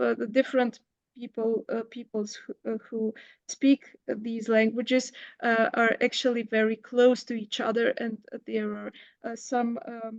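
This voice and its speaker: Speaking at a fairly slow pace in a Bulgarian accent, a woman with a high pitch comes through with a dry, close sound, no echo, and a quiet background. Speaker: professor. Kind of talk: academic Q&A. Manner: halting, many fillers.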